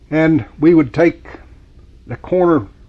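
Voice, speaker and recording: This is a man speaking. He has an Appalachian accent. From West Virginia. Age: 70s. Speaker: local resident. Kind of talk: reminiscence interview. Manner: halting.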